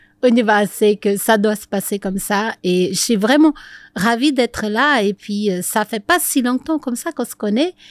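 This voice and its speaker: A fairly high-pitched woman's voice with lively intonation and big swings in loudness, at a moderate pace, in a very clean recording with a silent background. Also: dry, close sound with no echo. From Brazil. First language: Portuguese (speaking French). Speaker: couples coach. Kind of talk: interview.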